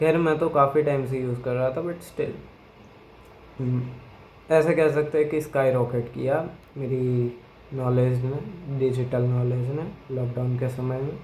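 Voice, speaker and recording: The speaker has a Gujarati accent and fairly even intonation, with long, frequent pauses. Audible room echo surrounds the voice. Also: man, medium pitch for a man. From Gujarat, India. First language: Gujarati (speaking Hindi). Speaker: YouTuber. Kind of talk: opinion monologue. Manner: hesitant, with fillers.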